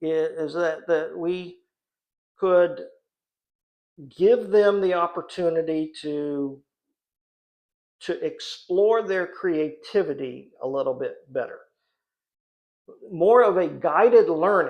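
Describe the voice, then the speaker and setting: Someone speaks at a very slow pace with long, frequent pauses against a quiet background. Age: 60s. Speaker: hobbyist woodworker and channel host. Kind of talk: live stream monologue. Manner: halting, with frequent repetitions.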